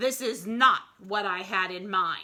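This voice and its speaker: A woman puts on a growling character voice at a medium pitch, speaking at a fairly slow pace. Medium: read story.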